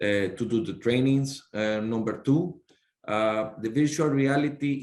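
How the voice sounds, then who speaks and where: A man with a Spanish accent, moderate pace and ordinary pitch variation. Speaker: sea captain and maritime official. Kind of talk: panel discussion. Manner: halting, many fillers.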